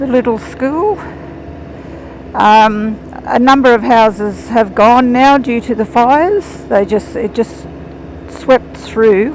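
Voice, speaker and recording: A woman's voice with ordinary pitch variation, against noticeable background noise. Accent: Australian. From Australia, northern New South Wales. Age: 60s. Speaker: motorcycle vlogger. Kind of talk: casual vlog narration. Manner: chatty, halting.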